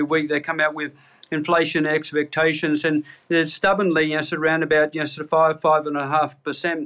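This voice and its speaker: A man with an Australian accent, very fast and fairly high-pitched, bright and sharp in tone, on a very clean recording with a silent background. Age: 60s. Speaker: chief economist. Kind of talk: interview. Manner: halting, many fillers.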